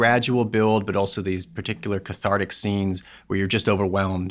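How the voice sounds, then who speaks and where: In a New York accent, a man with a fairly low voice speaks at a fairly quick pace with flat, monotone intonation on a very clean recording with a silent background. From New York City. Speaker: magazine editor. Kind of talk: casual chat.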